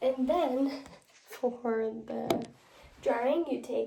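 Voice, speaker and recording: The speaker's pitch varies in an ordinary way, with noticeable background noise behind the voice. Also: woman. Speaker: nursing student. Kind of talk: skills demonstration. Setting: at home. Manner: whispering.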